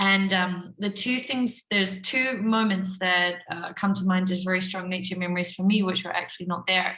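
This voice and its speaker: A woman with a New Zealand accent talks with hardly any pauses and fairly even intonation. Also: medium pitch for a woman, moderate pace. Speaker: workshop participant. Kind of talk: casual sharing in group video call.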